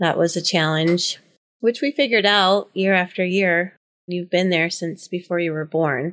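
At a moderate pace, a woman with an unremarkable speaking voice talks in a fairly low pitch with ordinary pitch variation. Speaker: office administrator and wellness educator. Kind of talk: casual interview.

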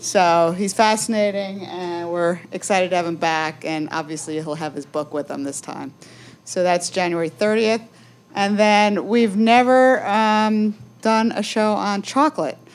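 Over a silent background in a very clean recording, a woman with a normal speaking voice and an American accent talks at a medium pitch and a fairly slow pace with ordinary pitch variation. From New Jersey. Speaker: event moderator. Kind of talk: moderated talk. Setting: coffee shop event with audience.

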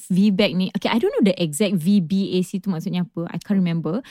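A woman's somewhat breathy, animated voice at medium pitch. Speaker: podcast host. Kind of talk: casual chat. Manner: code-switching Malay and English, animated.

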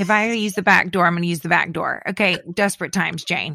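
Speaking very fast, a woman has a bright, sharp tone and fairly even intonation. The recording is very clean, with a silent background. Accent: Southern US. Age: 40s. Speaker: podcast co-host. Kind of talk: casual chat.

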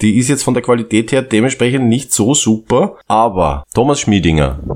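His voice shows vocal fry. The man's pitch sits in the medium range. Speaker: podcast co-host. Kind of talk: casual comedic chat.

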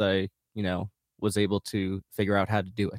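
The recording is very clean, with a silent background and a dry, close sound with no echo, as a man speaks at a moderate pace. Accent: American. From rural west central Minnesota, US. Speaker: musician. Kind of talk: casual interview.

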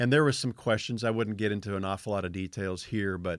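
On a very clean recording with a silent background, a man has an ordinary speaking voice at a fairly low pitch with ordinary pitch variation. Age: 50s. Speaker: fence contractor and former rancher, ministry worker. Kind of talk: testimony.

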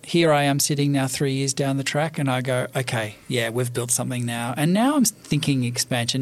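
With an Australian accent, a man talks at a moderate pace in a fairly high pitch with ordinary pitch variation. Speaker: bookshop owner. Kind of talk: interview. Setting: studio.

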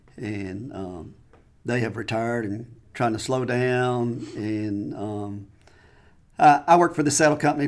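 A man talks at a fairly slow pace in a Southern US accent. His pitch varies in an ordinary way. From Mississippi, US South. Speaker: saddle maker. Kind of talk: casual interview. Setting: studio.

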